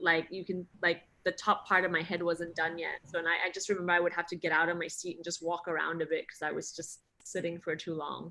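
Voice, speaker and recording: Speaking at a very fast pace, a woman with a fairly low pitch uses a bright, sharp tone and monotone, flat intonation. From Singapore. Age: 30s. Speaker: actress. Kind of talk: interview.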